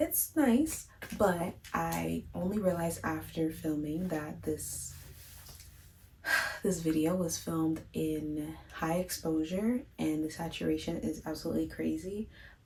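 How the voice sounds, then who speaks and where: A soft-spoken woman talks at a fairly slow pace in a calm tone. Audible room echo surrounds her voice. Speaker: beauty vlogger. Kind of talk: tutorial.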